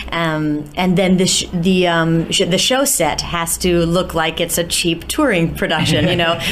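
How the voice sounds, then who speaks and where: A woman with an American accent, fairly low in pitch, at a fairly slow pace with hardly any pauses, very even loudness and fairly even intonation, with audible room echo and noticeable background noise. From US, New York. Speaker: musical theatre actress. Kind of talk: interview. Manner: halting, many fillers.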